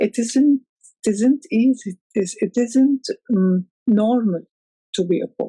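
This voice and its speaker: A woman with an Arabic accent speaks at a fairly slow pace, pausing long and often. Her pitch sits fairly high. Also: ordinary pitch variation. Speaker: poet. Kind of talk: interview. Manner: halting.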